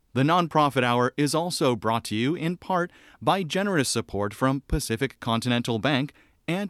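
A man at medium pitch, a plain, everyday voice, uses lively intonation. The recording is very clean, with a silent background. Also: dry, close sound with no echo. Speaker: radio announcer. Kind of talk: scripted narration.

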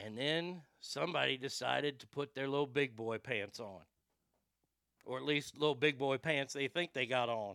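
A man puts on a raspy character voice at medium pitch and moderate pace, recorded dry and close with no echo. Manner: giddy, mocking.

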